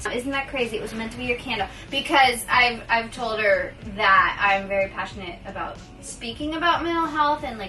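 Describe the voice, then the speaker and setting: Music in the background behind a woman's high-pitched voice, with big swings in loudness and audible room echo. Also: lively intonation. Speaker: travel vlogger. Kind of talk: casual unboxing chat. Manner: fast; animated.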